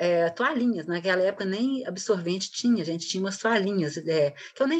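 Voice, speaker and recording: A woman at medium pitch, talking at a fairly quick pace with lively intonation. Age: 60s. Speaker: guest, mother of the co-host. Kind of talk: casual chat.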